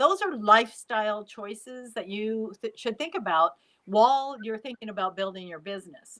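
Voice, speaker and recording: A woman with a fairly high pitch and ordinary pitch variation talks at a moderate pace in an unremarkable speaking voice, her loudness swinging widely. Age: 60s. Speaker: life coach. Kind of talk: casual chat.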